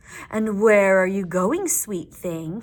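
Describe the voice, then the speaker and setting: A woman at a medium pitch performs a put-on character voice. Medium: read story. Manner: smooth, falsely polite.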